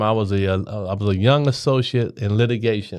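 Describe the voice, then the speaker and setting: Set against a quiet background, an unremarkable speaking voice moves at a fairly quick pace with an American accent and fairly even intonation. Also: man. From Cincinnati, Ohio. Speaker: mayoral candidate. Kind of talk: podcast interview.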